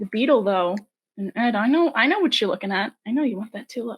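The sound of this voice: A woman speaks fast with a fairly high pitch, lively intonation and a slightly husky edge.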